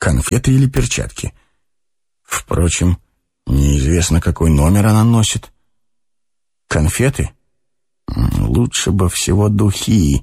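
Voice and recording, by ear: A put-on character voice with a dark, mellow tone and vocal fry moves at a slow pace through big pitch swings and long, frequent pauses. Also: man, low pitch for a man.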